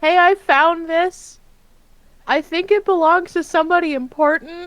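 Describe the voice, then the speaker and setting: Putting on a character voice, a woman speaks at an extremely high pitch and a moderate pace with fairly even intonation, the sound dry and close with no echo. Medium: actual play.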